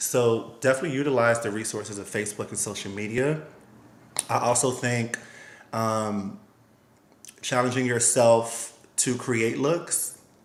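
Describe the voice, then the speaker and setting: Pausing often and at length, a man with an American accent speaks at a fairly slow pace in a medium voice with ordinary pitch variation, and room echo is audible. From US, Miami, Florida. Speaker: costume designer and stylist. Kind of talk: interview.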